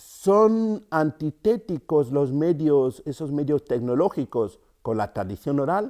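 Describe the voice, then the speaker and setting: In a very clean recording with a silent background, a man speaks very slowly in a dark, mellow tone, his pitch swinging very widely. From Cameroon, rural centre. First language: Yambasa (speaking Spanish). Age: 50s. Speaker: storyteller and writer. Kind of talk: interview. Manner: halting, many fillers.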